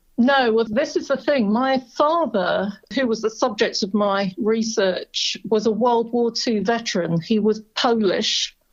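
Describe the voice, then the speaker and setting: A woman with a British accent and fairly high pitch speaks at a fairly slow pace, with ordinary pitch variation and hardly any pauses. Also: very even loudness. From Britain. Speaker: family history researcher. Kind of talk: interview.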